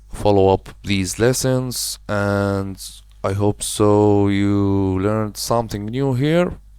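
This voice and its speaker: At a very slow pace, a man with a non-native accent speaks in a dark, mellow tone and fairly even intonation. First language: not English. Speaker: web design tutorial creator. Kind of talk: screen-recorded software tutorial. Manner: casual, slightly halting non-native phrasing.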